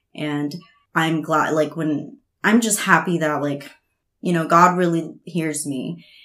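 With an American accent, a woman speaks very slowly at a very deep, low pitch, her tone bright and sharp. Her intonation stays fairly even, and the room echo is audible. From US (immigrated from Veracruz, Mexico as a child). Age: 20s. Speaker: teeth whitening technician. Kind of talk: casual chat.

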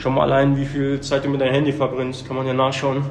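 With audible room echo and noticeable background noise, a man talks in a fairly high pitch. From Germany. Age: 30s. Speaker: gym member who lost a lot of weight. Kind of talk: casual interview.

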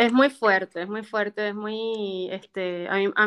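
Her tone is bright and sharp, and this woman's pitch varies in an ordinary way. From Venezuela. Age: 40s. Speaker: dancer and actress. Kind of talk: interview.

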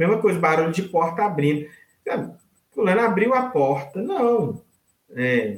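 Speaking at a fairly slow pace with long, frequent pauses, a man uses a high pitch, very wide pitch swings and very even loudness. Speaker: accessibility technician and audio description expert. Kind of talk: interview. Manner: hesitant, halting with repeated words.

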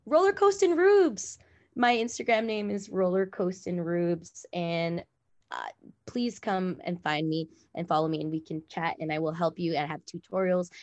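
Over a quiet background, a woman with a Californian accent speaks at a moderate pace, her fairly low pitch showing ordinary variation. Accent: Californian American. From Los Angeles, California. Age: 30s. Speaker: roller skater and influencer. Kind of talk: casual interview. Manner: animated.

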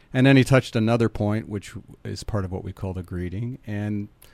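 A man at a moderate pace, with an unremarkable speaking voice. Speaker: biotouch practitioner and foundation head. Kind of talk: casual radio interview. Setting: radio studio.

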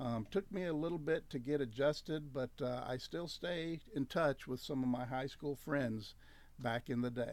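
Here a man talks with an American accent. His pitch is fairly high, with ordinary variation. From US Deep South (Louisiana). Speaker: campus ministry staff worker. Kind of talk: radio interview. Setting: radio studio.

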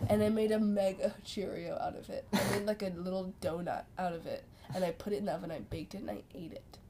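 A woman rattles along at a very fast pace while noticeable background noise fills the recording. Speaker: podcast co-host. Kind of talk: casual chat.

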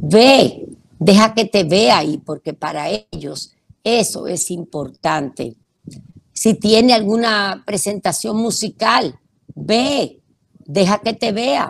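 The speech moves at a very slow pace, with lively intonation and vocal fry. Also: woman, medium pitch for a woman. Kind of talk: radio talk on parenting.

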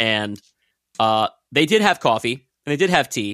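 With an American accent and a bright, sharp tone, a man speaks at a moderate pace with very wide pitch swings on a very clean recording with a silent background. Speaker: podcast host and musician. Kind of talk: casual chat.

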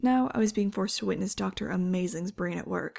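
The recording carries an unforced reading voice.

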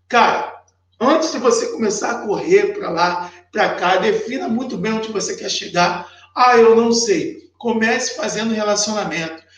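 A man speaks with an extremely high pitch and lively intonation. Audible room echo surrounds his voice. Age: 30s. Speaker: sales mentor. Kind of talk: live stream tutorial. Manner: animated.

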